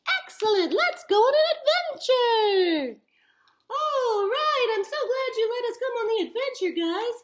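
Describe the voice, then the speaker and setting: The voice is a squeaky, put-on character voice with an extremely high pitch, a cheerful tone and a moderate pace. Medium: puppet show. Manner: cheerful, eager.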